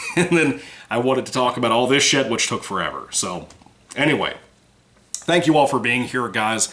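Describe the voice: Putting on a character voice, a man sounds hoarse and raspy at a medium pitch, speaking at a moderate pace with ordinary pitch variation and long, frequent pauses.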